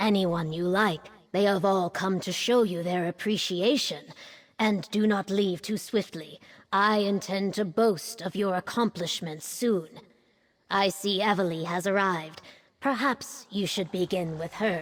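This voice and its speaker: At a moderate pace, a woman performs a put-on character voice. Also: medium pitch for a woman. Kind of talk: ceremonial speech. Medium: video game. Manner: formal, stately.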